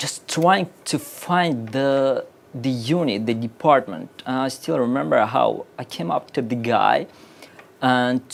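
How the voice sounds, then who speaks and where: A man talks at medium pitch with a Russian accent. Noticeable background noise runs beneath him. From Uzbekistan. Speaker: game company artist. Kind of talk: casual chat. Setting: live stream. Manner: halting.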